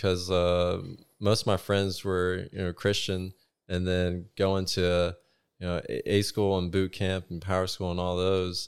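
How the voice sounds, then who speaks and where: A man with a very deep, low pitch at a moderate pace, in a very clean recording with a silent background. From South Carolina. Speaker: navy nuclear electrician. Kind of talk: casual chat.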